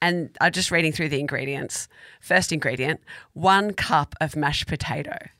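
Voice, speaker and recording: On a very clean recording with a silent background and a dry, close sound with no echo, a woman with an Australian accent speaks at a moderate pace, her very deep, low pitch carrying a bright, sharp tone and ordinary pitch variation. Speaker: food podcast co-host. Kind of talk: casual chat.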